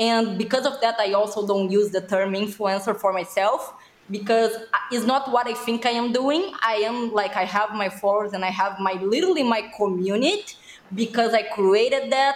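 Over noticeable background noise, a woman with a Brazilian accent talks at a fairly high pitch and moderate pace, her loudness very even and her pitch variation ordinary. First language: Portuguese. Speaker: social media influencer. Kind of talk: podcast interview. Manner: animated.

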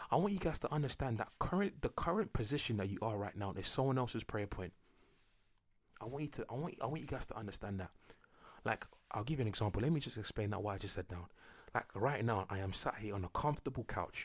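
In a London accent, a man races along at a very fast pace and a medium pitch, sounding somewhat breathy, with lively intonation and an animated tone. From North London, England (Enfield). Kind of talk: casual monologue.

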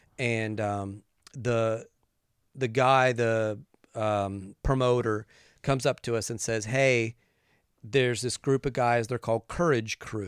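In a very clean recording with a silent background and a dry, close sound with no echo, a man with an American accent speaks very slowly at a medium pitch, his intonation fairly even and his pauses long and frequent. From West Virginia. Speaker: pastor and musician. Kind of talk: casual interview. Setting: studio.

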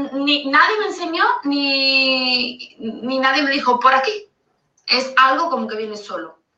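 The recording has audible room echo. A woman speaks with a high pitch and lively intonation. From Andalusia, Spain (Seville). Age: 30s. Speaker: caller sending a voice note. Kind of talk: recorded voice message. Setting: recorded voice note.

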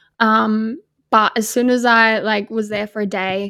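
With an Australian accent, a woman speaks fairly slowly in a fairly high voice with fairly even intonation. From Australia, Darwin. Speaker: podcast co-host. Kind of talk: casual chat.

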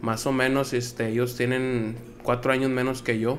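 Audible room echo surrounds a man speaking at medium pitch and a moderate pace with monotone, flat intonation. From Nuevo Laredo, Mexico. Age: 30s. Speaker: logistics worker. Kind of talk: casual chat.

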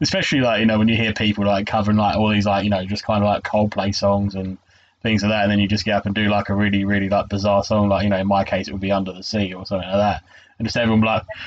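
Over a quiet background, a man speaks in a fairly low pitch with monotone, flat intonation. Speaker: podcast host. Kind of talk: casual chat.

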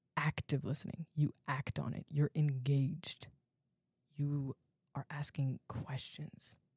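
A woman with an American accent talks very slowly in a very deep, low voice that is somewhat breathy. Her intonation is flat and monotone, and the sound is dry and close with no echo. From US, Virginia (Alexandria). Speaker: podcast host, university student. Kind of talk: solo educational podcast talk. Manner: casual, conversational.

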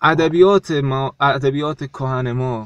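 Recorded dry and close with no echo, a man's fairly high voice moves with ordinary pitch variation. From South Khorasan, Iran. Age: 20s. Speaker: poet and teacher. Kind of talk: casual interview. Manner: halting.

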